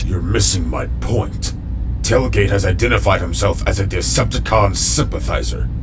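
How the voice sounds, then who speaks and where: Loud background noise sits behind the speech. A man does a put-on character voice at a moderate pace. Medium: fan dub. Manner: stiff, formal, serious.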